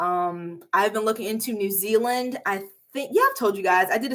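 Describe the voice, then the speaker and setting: At a fairly quick pace, a woman with a medium pitch speaks in an animated tone on a very clean recording with a silent background. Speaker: YouTuber. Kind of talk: casual chat. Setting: live stream.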